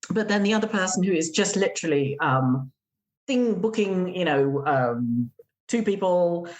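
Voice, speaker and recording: Speaking fairly slowly in an English accent, a woman has a fairly low pitch and lively intonation. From England. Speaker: gîte owner and blogger. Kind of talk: podcast interview. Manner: hesitant, many fillers.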